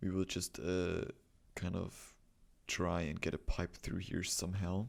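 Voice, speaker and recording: A man's very deep, low voice with a German accent, at a fairly slow pace and with fairly even intonation. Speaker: gaming video creator. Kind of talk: gameplay commentary. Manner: halting, stumbling over words.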